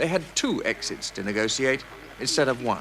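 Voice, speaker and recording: A man talks with very wide pitch swings and vocal fry. His tone is bright and sharp. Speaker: TV reporter. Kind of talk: TV documentary narration.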